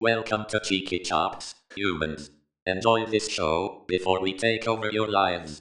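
This man puts on a robotic character voice, pitched fairly low, and talks at a moderate pace. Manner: menacing, mock-ominous.

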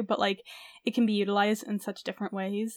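In a very clean recording with a silent background and a dry, close sound with no echo, a woman with a normal speaking voice and fairly high pitch talks at a fairly quick pace. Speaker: fan fiction podcast host. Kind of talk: casual chat.

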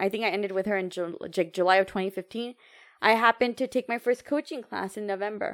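On a very clean recording with a silent background, a woman with a plain, everyday voice speaks at a fairly quick pace with ordinary pitch variation. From United States, Indian heritage. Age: 30s. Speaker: entrepreneur and empowerment coach. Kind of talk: casual interview chat.

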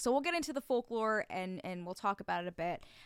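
In an ordinary speaking voice, a woman talks with an American accent and lively intonation. Her pitch is medium. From New Jersey. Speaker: podcast co-host. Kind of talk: casual chat.

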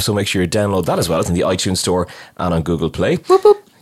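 On a very clean recording with a silent background, a man with an Irish accent speaks at a very deep, low pitch. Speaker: podcast host. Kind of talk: casual interview.

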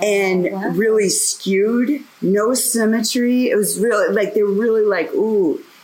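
Fairly high in pitch, a woman speaks at a fairly slow pace with hardly any pauses, very even loudness and ordinary pitch variation, over noticeable background noise. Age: 50s. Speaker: meditation teacher. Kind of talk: casual chat; guided meditation. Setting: outdoors.

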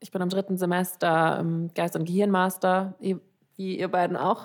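On a very clean recording over a silent background, a woman talks at a fairly slow pace. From Germany, Frankfurt. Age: 20s. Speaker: podcast host, psychology student. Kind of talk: casual chat.

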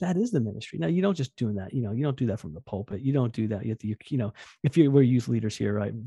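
Very fast and somewhat breathy, a man with a medium pitch and a dark, mellow tone uses lively intonation, heard with a dry, close sound with no echo over a quiet background. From New Jersey. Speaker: youth pastor. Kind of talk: interview. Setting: remote call. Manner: fast, excitable.

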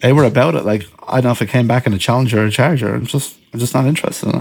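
This man talks at a very fast pace with an Irish accent. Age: 30s. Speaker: professional drift driver. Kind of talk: casual chat.

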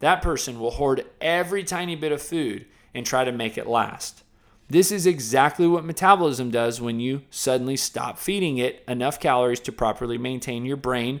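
A plain, everyday voice belongs to a man speaking at medium pitch with ordinary pitch variation on a very clean recording with a silent background. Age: 20s. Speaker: podcast host and fitness trainer. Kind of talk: reading aloud.

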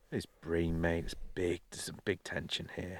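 A man with an English accent at a moderate pace. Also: very clean recording, silent background. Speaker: carp fishing podcast co-host. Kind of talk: casual chat. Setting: outdoors by a lake at night. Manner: loud.

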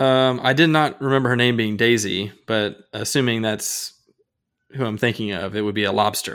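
This man has an ordinary speaking voice at a medium pitch with ordinary pitch variation. He speaks at a moderate pace on a very clean recording with a silent background. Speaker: fantasy football podcast host. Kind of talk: casual chat.

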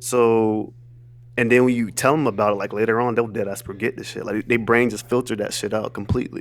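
The intonation is monotone and flat. The pace is very fast. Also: man, medium pitch for a man. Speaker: podcast co-host. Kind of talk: casual banter. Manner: casual, profane.

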